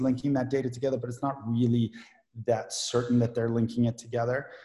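Very fast and somewhat breathy, a man speaks at a medium pitch with a dark, mellow tone. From South Africa. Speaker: privacy lawyer. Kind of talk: casual chat.

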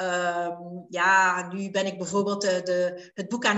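Noticeable background noise is audible. Over it, a woman talks. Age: 50s. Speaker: life coach and hypnotherapist. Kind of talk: interview. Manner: hesitant, many filler sounds.

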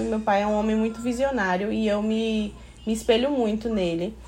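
Over music in the background, a woman with a fairly high pitch and ordinary pitch variation speaks amid audible room echo. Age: 30s. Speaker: podcast guest, mother. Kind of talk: casual chat.

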